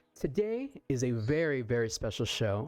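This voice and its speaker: Music plays in the background as a man with an American accent speaks at a medium pitch. His pitch swings very widely, and the sound is dry and close with no echo. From Bronx, New York. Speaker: menswear content creator, podcast host. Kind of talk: casual podcast interview talk.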